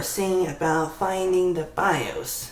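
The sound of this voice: A woman with a fairly low-pitched voice talks over noticeable background noise.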